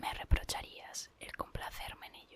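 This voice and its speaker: Whispering, calm and fairly slow, over noticeable background noise. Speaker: ASMR reader / content creator. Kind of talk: whispered audiobook-style reading of a literary text (ASMR). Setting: rain sounds in a car as background. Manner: whispered, calm, soft.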